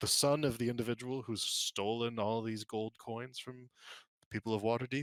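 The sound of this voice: An unforced reading voice with fairly even intonation, over a quiet background.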